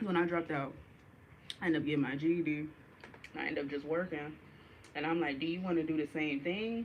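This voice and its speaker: A woman speaks at a very fast pace in a very deep, low pitch with fairly even intonation, broken by long, frequent pauses. Noticeable background noise sits behind her. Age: 20s. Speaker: livestreamer. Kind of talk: casual livestream monologue.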